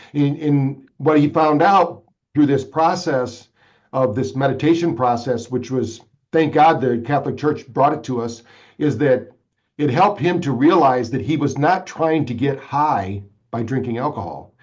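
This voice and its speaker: With an American accent, a man uses a normal speaking voice, fairly high in pitch, at a moderate pace with ordinary pitch variation. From Michigan. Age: 60s. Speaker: brain fitness entrepreneur. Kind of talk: podcast interview.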